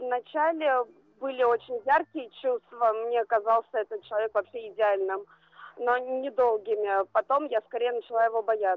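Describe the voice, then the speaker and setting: In a plain, everyday voice, a woman speaks at a fairly high pitch with ordinary pitch variation and very even loudness. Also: moderate pace. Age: 20s. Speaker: caller. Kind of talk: phone-in call.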